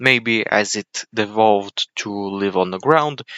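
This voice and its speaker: This man's voice sits fairly low in pitch, with fairly even intonation. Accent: Bulgarian. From Bulgaria. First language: Bulgarian. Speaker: YouTube video creator, 3D modeler. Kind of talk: unscripted tutorial-style narration over time lapse. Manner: mumbling, rambling explanation.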